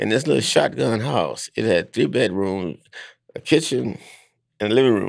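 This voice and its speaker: Using vocal fry and very wide pitch swings, a man speaks with long, frequent pauses. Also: medium pitch for a man, moderate pace. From US South, Alabama. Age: 90s. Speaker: elder storyteller, civil rights activist. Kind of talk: elder's rambling oral-history reminiscence of childhood. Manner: meandering, folksy, peppered with 'you know' and chuckles; halting, repeats and restarts phrases.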